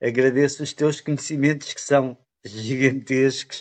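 A man speaks. His intonation is flat and monotone. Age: 50s. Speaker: chi kung student. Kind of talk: interview. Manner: halting.

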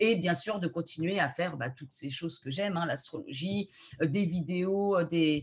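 A woman speaks fairly slowly with a somewhat breathy, fairly low-pitched voice and ordinary pitch variation. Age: 30s. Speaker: astrologer and video creator. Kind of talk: casual interview.

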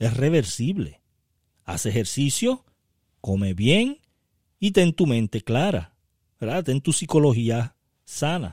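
Somewhat breathy and very slow, the speech has very wide pitch swings and long, frequent pauses on a very clean recording with a silent background. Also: man, medium pitch for a man. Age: 50s. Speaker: podcast host, network marketing mentor. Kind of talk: motivational solo podcast talk.

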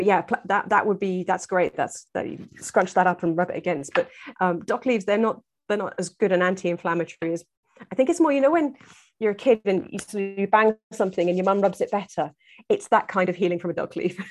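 A woman with an English accent, very fast in pace and medium in pitch, with ordinary pitch variation against a quiet background. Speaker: herbalist and foraging teacher. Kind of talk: casual interview.

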